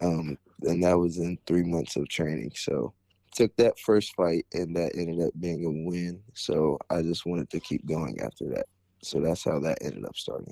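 With an American accent, a man speaks at a very deep, low pitch in a dark, mellow tone with vocal fry, recorded dry and close with no echo over a quiet background. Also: ordinary pitch variation, moderate pace. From Ohio, Canton area. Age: 20s. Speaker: amateur mixed martial artist. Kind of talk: interview.

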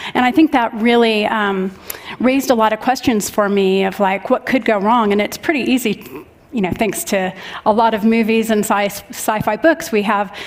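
Fairly high-pitched woman's voice at a moderate pace with ordinary pitch variation, over noticeable background noise. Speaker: tech executive panelist. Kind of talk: panel discussion. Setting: stage with audience.

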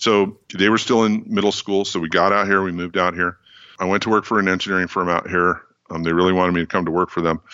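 A man with a very deep, low pitch talks at a very fast pace in a flat monotone, with a General American accent. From US West Coast, California Bay Area. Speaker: engineering educator. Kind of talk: interview.

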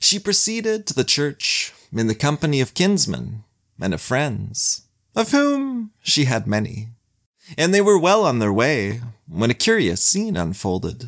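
At a fairly slow pace, a man speaks in a medium pitch with very wide pitch swings on a very clean recording with a silent background. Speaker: podcast narrator. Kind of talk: saga narration, scripted storytelling. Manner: measured, dry, wry storyteller.

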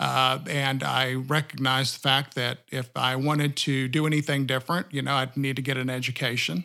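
Delivered at a moderate pace with hardly any pauses, the speech has a bright, sharp tone, monotone, flat intonation and a Texan accent. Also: man, medium pitch for a man. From Texas, rural area south of Austin. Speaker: banker. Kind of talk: interview.

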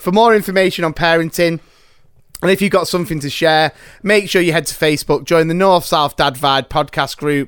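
Talking at a fairly quick pace, the man has a high pitch, an animated tone and ordinary pitch variation. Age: 30s. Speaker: podcast host. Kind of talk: casual chat.

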